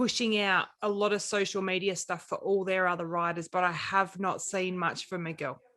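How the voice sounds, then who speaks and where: A woman's bright, sharp voice at a medium pitch, with fairly even intonation and hardly any pauses. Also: moderate pace, quiet background. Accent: Australian. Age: 40s. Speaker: podcast co-host. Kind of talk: casual chat.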